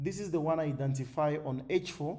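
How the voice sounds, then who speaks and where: Amid audible room echo, a man with a fairly high pitch speaks with fairly even intonation in a dark, mellow, somewhat breathy tone. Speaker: forex trading educator. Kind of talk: tutorial. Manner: fast.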